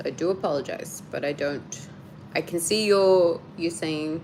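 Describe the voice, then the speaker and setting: A woman's fairly low voice at a fairly slow pace, with fairly even intonation. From Australia, Sydney. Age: 30s. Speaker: YouTuber. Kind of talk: live stream chat.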